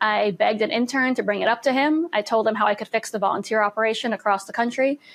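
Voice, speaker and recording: Speaking very fast with a New York accent, a woman uses a fairly high pitch and ordinary pitch variation against a quiet background. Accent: New York American. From US, Manhattan, New York City. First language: Russian. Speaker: political spokesperson. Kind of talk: podcast interview.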